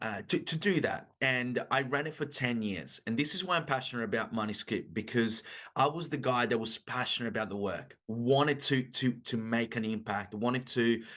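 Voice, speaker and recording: A man speaks with an Italian-Australian accent. His pitch is medium, and the background is quiet. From Italy. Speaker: business coach. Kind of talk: podcast interview.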